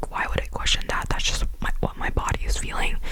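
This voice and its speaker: A woman whispering at a fairly quick pace, with noticeable background noise. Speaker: ASMR content creator. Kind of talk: ASMR whisper ramble. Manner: whispered, soft, intimate.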